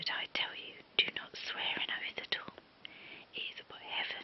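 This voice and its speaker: Whispering, a woman speaks at a moderate pace. Noticeable noise sits in the background. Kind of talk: ASMR Bible reading. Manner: whispered.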